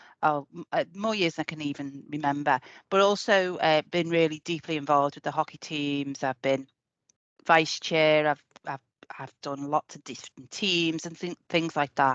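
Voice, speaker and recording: Speaking at a fairly slow pace with a Liverpool accent, a woman has a very deep, low pitch and big swings in loudness, in a dry, close sound with no echo. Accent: Scouse. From Liverpool, England. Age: 50s. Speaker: health service employee. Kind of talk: casual chat.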